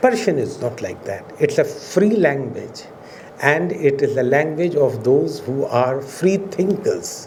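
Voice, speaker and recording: With a Pakistani accent, a man speaks fairly slowly at a fairly high pitch with lively intonation, amid noticeable background noise and audible room echo. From India. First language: Urdu. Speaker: professor. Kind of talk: lecture. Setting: auditorium with audience. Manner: formal.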